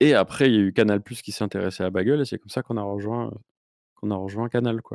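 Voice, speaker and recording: A man's fairly low voice, very fast, fairly even in intonation, with big swings in loudness and a dry, close sound with no echo. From southern France. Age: 40s. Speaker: YouTuber. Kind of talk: casual chat.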